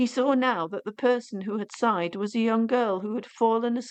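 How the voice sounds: A natural reading voice. That is all there is to it.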